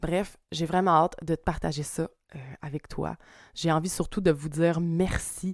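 A woman talks at a fairly slow pace in a very clean recording with a silent background. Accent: Quebec. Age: 30s. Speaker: spiritual coach and energy healer. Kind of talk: casual monologue.

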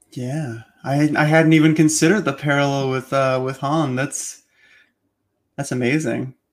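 A man speaks in a plain, everyday voice at a fairly high pitch and a moderate pace, with fairly even intonation. The recording is very clean, with a silent background. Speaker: editor and podcast host. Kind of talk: interview, author commentary.

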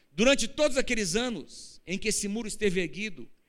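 Audible room echo surrounds a man speaking at a high pitch with lively intonation. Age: 50s. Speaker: pastor. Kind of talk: sermon. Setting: church.

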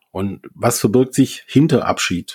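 Over a silent background in a very clean recording, a man speaks at a medium pitch with a dark, mellow tone and ordinary pitch variation. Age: 40s. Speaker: grief coach. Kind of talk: interview.

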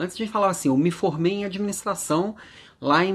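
The man's voice sits at a high pitch. His intonation is lively. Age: 40s. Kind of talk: daily motivational monologue.

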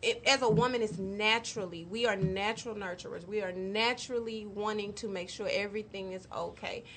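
This woman has an unremarkable speaking voice at a medium pitch, with fairly even intonation. She talks at a fairly quick pace with hardly any pauses. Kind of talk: casual chat. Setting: studio.

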